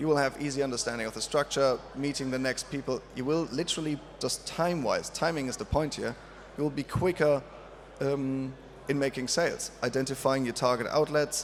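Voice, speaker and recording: A man with a non-native accent speaks at a fairly quick pace and fairly high pitch, his intonation fairly even. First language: not English. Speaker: drinks industry panelist. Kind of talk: panel talk. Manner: halting, many fillers.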